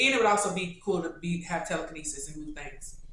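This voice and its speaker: A woman in a strong Kentucky accent, fairly low-pitched, very fast and animated. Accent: thick Kentucky. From Kentucky, Louisville. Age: 20s. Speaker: YouTuber. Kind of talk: casual Q&A.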